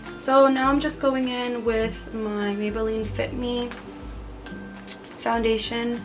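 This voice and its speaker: Music plays in the background. A woman speaks in a relaxed tone. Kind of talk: casual talk to camera. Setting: bedroom. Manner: relaxed, chatty.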